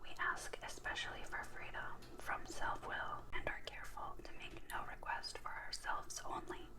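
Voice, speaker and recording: Someone whispers at a fairly slow pace. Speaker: recovering alcoholic. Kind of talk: asmr reading. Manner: whispered.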